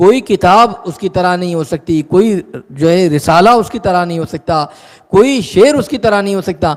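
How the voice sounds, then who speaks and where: This man's voice sits high in pitch. Its pitch variation is ordinary. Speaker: Islamic scholar giving a sermon. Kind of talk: Islamic sermon (bayan) in Urdu.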